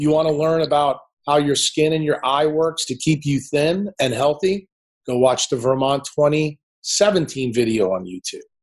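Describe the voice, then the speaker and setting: A man with an American accent at a moderate pace. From New Orleans, USA. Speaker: neurosurgeon. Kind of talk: interview answer. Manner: brash, confronting.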